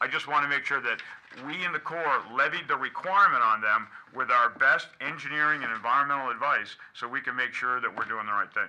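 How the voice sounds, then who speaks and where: Against noticeable background noise, a man with an American accent talks at a fairly quick pace and fairly high pitch. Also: ordinary pitch variation. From New England. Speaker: army general, chief of engineers. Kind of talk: speech at public meeting. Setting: public meeting room with audience. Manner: fast; animated.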